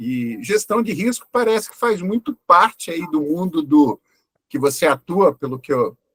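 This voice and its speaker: A man's fairly slow delivery, dry and close with no echo. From Brazil, Curitiba. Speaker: webinar moderator. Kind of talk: webinar panel discussion. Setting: online webinar.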